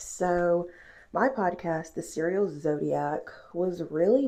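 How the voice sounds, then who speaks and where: A woman's fairly low voice, very slow yet lively in intonation. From Mississippi. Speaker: podcaster, vlogger. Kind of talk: casual chat. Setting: at home getting ready for bed. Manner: casual, filler-heavy.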